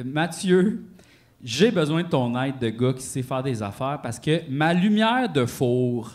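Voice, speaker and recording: A man's fairly high voice, animated in tone, with lively intonation at a fairly slow pace. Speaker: podcast co-host. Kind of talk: live podcast with audience. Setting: stage with audience.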